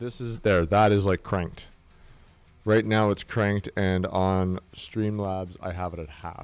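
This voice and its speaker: Music plays in the background as a man talks at a fairly slow pace. His pitch is very deep and low, his intonation fairly even. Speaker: fitness streamer. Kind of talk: casual chat. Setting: home gym. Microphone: new mic, testing gain and distance.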